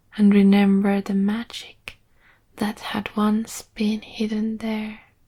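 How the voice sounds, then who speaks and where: A woman speaks very slowly in a soft-spoken, somewhat breathy way, with monotone, flat intonation. Her tone is dark and mellow, calm and soothing. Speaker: storyteller. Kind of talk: sleep story. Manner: calm, soothing.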